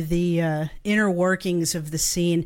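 This is an ordinary speaking voice from a woman. She talks at a moderate pace with a fairly low pitch. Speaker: podcast co-host and musician. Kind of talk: casual live interview. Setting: video call, live stream.

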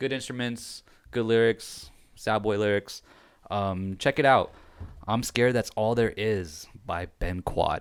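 In a plain, everyday voice, a man speaks at a medium pitch and a fairly slow pace on a very clean recording with a silent background. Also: ordinary pitch variation. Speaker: podcast host. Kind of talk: casual chat.

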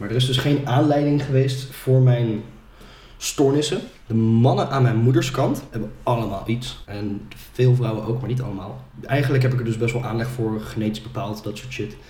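A man's medium-pitched voice with fairly even intonation and audible room echo. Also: moderate pace. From Netherlands, Ede. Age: 20s. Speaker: sales manager. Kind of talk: personal testimony in podcast interview.

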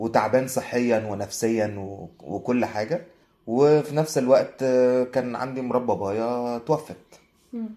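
Fairly slow speech with an Egyptian accent. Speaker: photographer. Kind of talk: casual chat.

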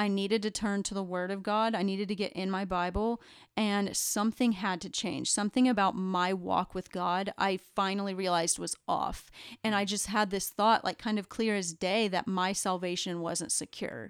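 On a very clean recording with a silent background, a woman with an unremarkable speaking voice speaks at a medium pitch and a moderate pace with fairly even intonation. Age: 20s. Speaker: church member sharing testimony. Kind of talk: testimony. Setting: recorded podcast.

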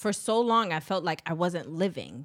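Speaking at a moderate pace, a woman with an unremarkable speaking voice and fairly low pitch shows ordinary pitch variation in a very clean recording with a silent background. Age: 30s. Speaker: podcast co-host. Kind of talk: casual chat.

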